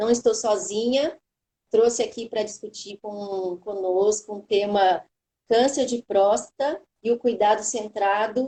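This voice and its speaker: A woman's fairly high, dark and mellow voice at a fairly slow pace, with ordinary pitch variation. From São Paulo state, Brazil. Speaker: oncology pharmacist, live moderator. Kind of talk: live webinar moderation. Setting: online live stream.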